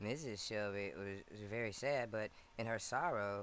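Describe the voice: The intonation holds fairly even. It is a plain reading aloud.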